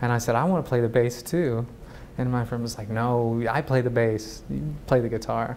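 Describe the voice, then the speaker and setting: A man speaks in a plain, everyday voice at medium pitch. His pace is moderate and his intonation fairly even. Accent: American. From US South, Chattanooga, Tennessee. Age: 30s. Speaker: new media artist. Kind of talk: interview. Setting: TV talk show.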